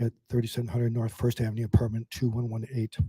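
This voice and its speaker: A man's dark, mellow voice, somewhat breathy, in a dry, close recording with no echo. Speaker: public commenter. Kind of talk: public comment at council meeting. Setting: council chamber with microphone.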